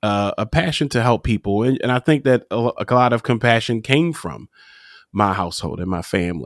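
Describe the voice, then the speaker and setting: A man with a normal speaking voice and medium pitch talks at a fairly quick pace with lively intonation, recorded very clean with a silent background and a dry, close sound with no echo. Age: 40s. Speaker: mindset and business coach. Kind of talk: interview.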